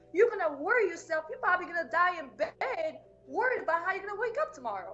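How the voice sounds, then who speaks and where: A woman's extremely high-pitched voice, with very wide pitch swings and a very fast pace. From Balkans (Macedonia/Albania). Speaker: entrepreneur. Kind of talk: interview. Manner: halting. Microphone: connection issues early on.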